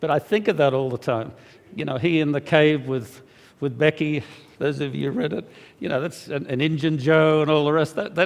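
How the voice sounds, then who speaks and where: A man with an Australian accent speaks at a moderate pace in a fairly high voice, with ordinary pitch variation. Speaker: preacher and magazine editor. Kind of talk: sermon. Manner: halting, many fillers.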